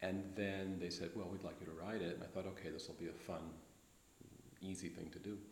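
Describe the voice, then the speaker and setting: A man with an American accent, very deep and low in pitch, with monotone, flat intonation and audible room echo. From US West Coast, Los Angeles. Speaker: history professor. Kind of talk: interview.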